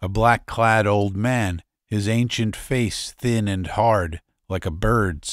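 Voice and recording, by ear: All is quiet in the background. The speaker reads aloud in a natural voice.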